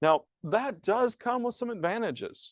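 A man's voice with a Southern US accent and very wide pitch swings, dry and close with no echo, against a quiet background. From US South, rural piney woods. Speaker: pastor. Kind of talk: conference talk. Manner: halting, repeats words.

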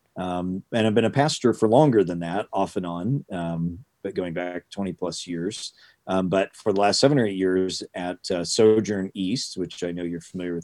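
At a moderate pace, a man speaks with a very deep, low pitch and ordinary pitch variation. The sound is dry and close, with no echo. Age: 50s. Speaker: professor and pastor. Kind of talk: interview. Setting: video call.

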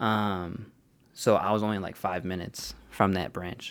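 In an American accent, a man talks with an ordinary speaking voice and fairly even intonation. His pace is moderate, and the recording is very clean with a silent background. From Joliet, Illinois (Chicago suburbs). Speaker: computer networking worker. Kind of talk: casual chat.

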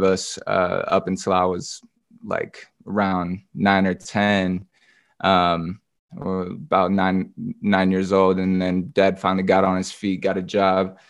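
With an American accent, a man talks at a fairly slow pace in a very deep, low pitch and a monotone, flat intonation, against a quiet background. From US West Coast, southern Oregon. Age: 20s. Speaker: rapper. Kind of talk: testimony.

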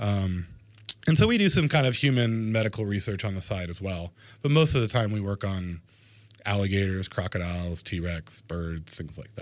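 Speaking at a moderate pace, a man with a fairly low pitch and ordinary pitch variation has an ordinary speaking voice. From Florida coast, US. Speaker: anatomy professor. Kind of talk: radio interview.

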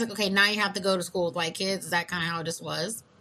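This is a woman with a medium-pitched voice. Noticeable background noise can be heard. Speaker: podcast host. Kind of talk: casual chat.

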